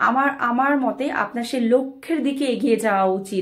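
In a quiet background, a woman speaks at a high pitch with ordinary pitch variation. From Bangladesh. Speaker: motivational speaker. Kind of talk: motivational talk. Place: home room. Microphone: phone near.

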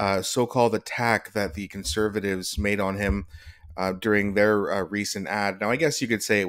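This man has a plain, everyday voice, fairly low in pitch, with fairly even intonation. He talks at a fairly quick pace over a quiet background. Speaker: political commentary youtuber. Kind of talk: commentary.

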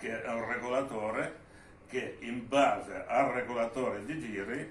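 Slowish and fairly even in intonation, a man's voice carries audible room echo over light background noise. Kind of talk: informal technical explanation. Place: workshop.

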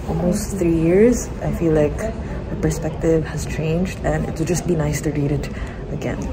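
Amid noticeable background noise, a woman speaks at a moderate pace. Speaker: vlogger. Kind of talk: casual vlog chat. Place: cafe. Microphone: phone near.

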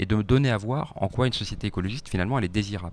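Here a man speaks at a very fast pace. His pitch is fairly low, with ordinary pitch variation. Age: 30s. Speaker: politician, party spokesperson; guest. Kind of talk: radio interview; interview answer. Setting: radio studio. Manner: hesitant, many fillers. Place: studio. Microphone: handheld.

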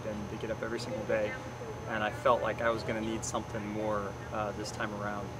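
A man at a fairly quick pace, dry sound with no echo, loud background noise. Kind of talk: interview answer. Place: open country.

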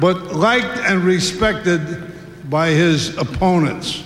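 A man speaks at a very slow pace with audible room echo and light background noise. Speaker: former coach giving a tribute. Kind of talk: ceremonial speech. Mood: warm, humorous tribute. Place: stadium. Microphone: podium.

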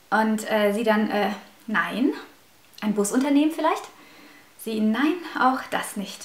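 Audible room echo surrounds a woman whose intonation is lively. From Russia, raised in Germany from age five. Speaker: YouTuber; vlogger. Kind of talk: vlog storytelling. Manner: hesitant, many fillers. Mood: animated, recounting upsetting stories. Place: home room.

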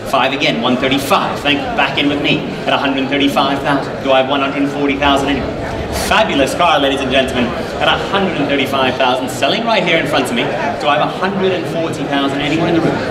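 Loud background noise behind a man's fairly high voice, with ordinary pitch variation and a moderate pace. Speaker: auctioneer. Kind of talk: auction bid calling. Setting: auction hall with live audience and running engine. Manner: urgent, coaxing crowd to keep bidding. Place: hall.

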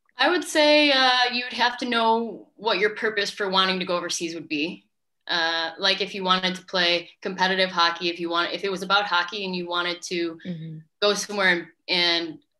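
A woman's bright, sharp voice at a fairly quick pace, over a quiet background. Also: ordinary pitch variation. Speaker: interviewee. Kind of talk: interview answer. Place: home room. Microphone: video call.

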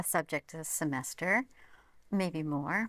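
Fairly low in pitch, a woman with an American accent speaks at a fairly slow pace. Her intonation is fairly even, and the sound is dry with no echo. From American, from Vermont. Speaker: university provost and civil engineering academic. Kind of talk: interview answer. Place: studio. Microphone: lapel.

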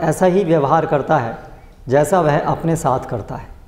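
Audible room echo marks this recording. The man in it talks at a fairly slow pace. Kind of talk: reading scripture commentary aloud. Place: church.

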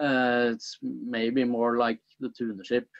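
With a Norwegian accent, a man speaks at a very slow pace against a quiet background. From Norway. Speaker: archaeologist; guest. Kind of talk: interview. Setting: video call. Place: home room. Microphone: video call.

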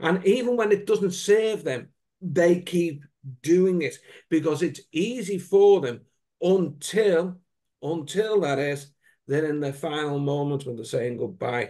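Against a quiet background, a man with a high pitch and a dark, mellow tone talks at a fairly slow pace with lively intonation. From UK. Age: 60s. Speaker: wellbeing coach. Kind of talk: casual chat. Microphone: video call.

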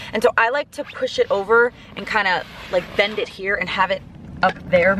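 A woman at a moderate pace with ordinary pitch variation, dry sound with no echo, and light background noise. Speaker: vlogger living in her car. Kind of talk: casual vlog chat. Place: car. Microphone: phone near.

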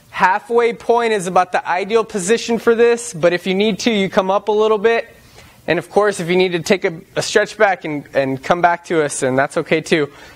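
Here a man is speaking. His pitch variation is ordinary. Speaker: fitness trainer. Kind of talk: workout instruction. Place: gym.

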